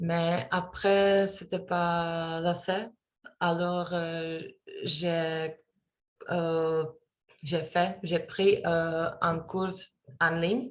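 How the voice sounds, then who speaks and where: Speaking with a non-native accent, a woman uses a monotone, flat intonation at a fairly low pitch, going very slowly with long, frequent pauses. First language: not French (speaking French). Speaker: French learner, student. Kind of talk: class oral presentation. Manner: halting, many hesitations.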